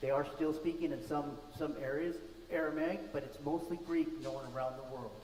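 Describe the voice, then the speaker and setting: A man at a fairly high pitch and a moderate pace, with audible room echo and noticeable background noise. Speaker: lay preacher. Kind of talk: sermon. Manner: loud.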